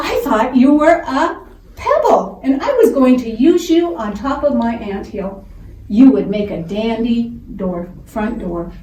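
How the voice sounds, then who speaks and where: Using a put-on character voice, a woman speaks at a fairly slow pace with a fairly high pitch and a wheezy quality, with slight echo. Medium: read story. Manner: wheezing.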